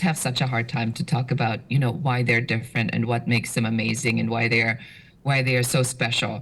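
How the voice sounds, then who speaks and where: Somewhat breathy, a woman speaks in a German accent. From Germany. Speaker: business strategist. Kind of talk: podcast interview. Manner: direct, assertive.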